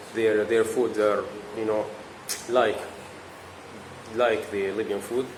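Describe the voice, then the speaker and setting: A man's fairly low voice amid audible room echo and noticeable background noise. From Libya. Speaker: international university student. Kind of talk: interview. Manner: halting, repeats words.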